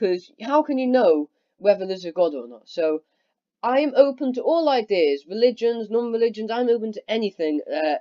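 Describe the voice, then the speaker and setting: A woman's fairly high voice at a fairly quick pace, full of very wide pitch swings. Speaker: youtuber talking about philosophy. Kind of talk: casual monologue. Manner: loud; halting.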